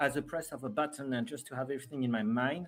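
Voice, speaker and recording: The speaker has a French accent. The pace is very fast. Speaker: live streamer. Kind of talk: live stream chat. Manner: halting, many fillers.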